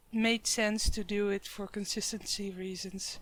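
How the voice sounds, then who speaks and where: Fairly slow speech with a Dutch accent. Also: woman. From Netherlands. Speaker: gaming YouTuber. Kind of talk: game build commentary. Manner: casual, slightly halting.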